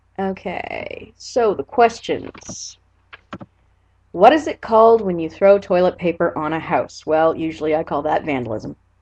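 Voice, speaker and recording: Her intonation lively, a woman speaks fairly slowly at a fairly low pitch. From Nova Scotia, Canada (Annapolis Valley). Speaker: vlogger. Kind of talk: casual vlog, reading word list aloud. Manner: casual, filler words.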